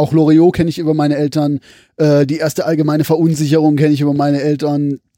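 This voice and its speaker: Talking at a very fast pace, a man has a dark, mellow tone and a monotone, flat intonation. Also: fairly high pitch for a man. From Pforzheim area, Baden-Württemberg. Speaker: laserdisc collector. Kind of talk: casual chat. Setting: at home.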